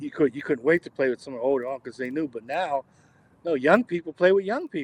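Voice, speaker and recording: A man talks in a normal speaking voice at a fairly high pitch and a fairly quick pace, with ordinary pitch variation and a dry, close sound with no echo. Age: 60s. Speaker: jazz drummer. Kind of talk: casual chat.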